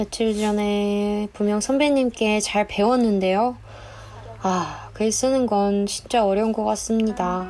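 With music in the background, a woman speaks very slowly at a medium pitch, her loudness very even and her intonation fairly even. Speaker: new employee on a company PR team. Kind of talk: dubbed vlog voiceover narration. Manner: humorous, self-deprecating.

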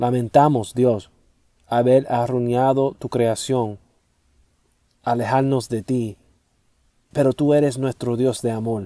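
Speaking at a very slow pace with long, frequent pauses, a man keeps a monotone, flat intonation at medium pitch in a dark, mellow tone. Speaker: prayer leader. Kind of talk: fervent spoken prayer, solemn and devotional, with repeated thanksgiving refrains. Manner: earnest, reverent, measured with a pleading tone.

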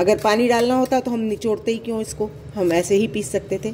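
A woman talks at a fairly quick pace with a fairly high pitch and a dark, mellow tone. Her pitch varies in an ordinary way, with faint background noise.

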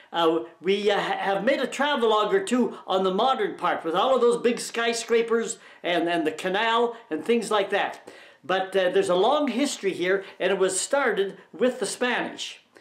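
A man with a high pitch for a man speaks at a moderate pace with ordinary pitch variation, against a quiet background with audible room echo. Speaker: travelogue host. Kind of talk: casual travelogue introduction. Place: home room.

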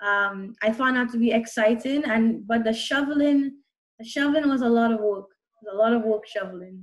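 A fairly quick pace with ordinary pitch variation over a quiet background. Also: woman. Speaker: interview guest. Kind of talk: interview answer. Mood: cheerful, friendly. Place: home room. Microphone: video call.

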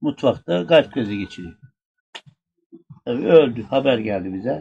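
A man speaks with an Aegean accent at a fairly slow pace. There is light background noise. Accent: Aegean Turkish dialect. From Burdur, Turkey. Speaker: former village headman. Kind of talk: telling a true funny anecdote in a group. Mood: relaxed, humorous. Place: open country. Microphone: camera far.

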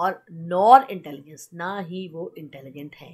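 A woman talks with a fairly low pitch. Her pace is very slow and her intonation lively. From India. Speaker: teacher. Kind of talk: lecture. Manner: code-switching Hindi and English.

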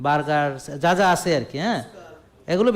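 An animated tone with very wide pitch swings. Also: man. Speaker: doctor giving health advice. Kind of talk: health talk to audience with patients present.

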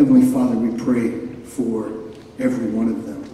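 A man talks at a moderate pace. The room echo is audible, and there is light background noise. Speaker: ceremony speaker giving benediction. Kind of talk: closing prayer at graduation ceremony. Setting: stage with audience at graduation ceremony. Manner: fervent, earnest, pleading. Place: stage.

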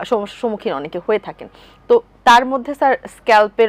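With lively intonation, a woman speaks in a normal speaking voice, the sound dry and close with no echo. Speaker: TV presenter. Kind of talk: TV lifestyle talk show hosting. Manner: formal.

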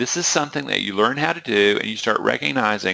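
A man's bright, sharp voice with vocal fry and a Southern US accent against a quiet background. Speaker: trading psychology coach. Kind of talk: webinar presentation. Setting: online webinar. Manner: rambling, conversational.

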